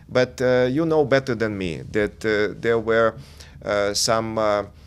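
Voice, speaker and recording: A man with a Russian accent and ordinary pitch variation. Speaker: diplomat. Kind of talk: TV interview. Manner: halting, many hesitations.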